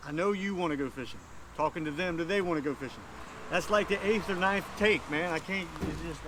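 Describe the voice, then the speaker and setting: Over noticeable background noise, a man with an American accent talks at a fairly quick pace in a high-pitched voice, his tone relaxed. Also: ordinary pitch variation. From Virginia. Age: 50s. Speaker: fishing video host. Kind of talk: casual talk to camera. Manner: relaxed, folksy.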